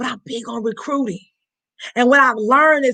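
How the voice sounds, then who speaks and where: A woman with a high, bright, sharp voice speaks in an animated tone and a raised, projected voice with ordinary pitch variation. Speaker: network marketing team leader. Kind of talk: motivational training talk. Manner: fast.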